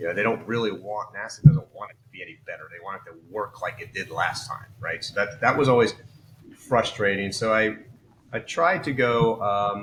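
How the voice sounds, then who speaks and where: A man talks at a moderate pace in a medium pitch, his loudness swinging widely and his pitch varying in an ordinary way, over noticeable background noise. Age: 60s. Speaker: engineer and startup founder. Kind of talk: interview. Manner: casual, filler-heavy.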